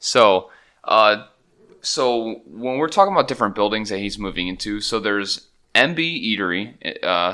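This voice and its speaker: This man has a normal speaking voice, pitched fairly low. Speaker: podcast co-host. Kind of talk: casual chat. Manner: joking, profane.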